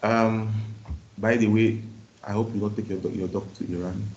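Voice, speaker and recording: Audible room echo follows a man whose fairly low, somewhat breathy voice stays monotone and flat. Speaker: university lecturer. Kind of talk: lecture. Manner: fast.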